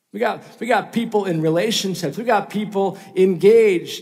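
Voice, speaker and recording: The speaker has an American accent and a moderate pace. Noticeable background noise runs under the voice. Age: 30s. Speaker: pastor. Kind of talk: sermon. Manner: casual with fillers.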